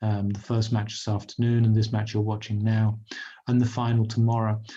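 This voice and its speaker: This man speaks in a flat monotone at a fairly quick pace. His voice is somewhat breathy. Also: medium pitch for a man. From England. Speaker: pool commentator. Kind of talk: live sports commentary. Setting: commentary box. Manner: hesitant, many fillers.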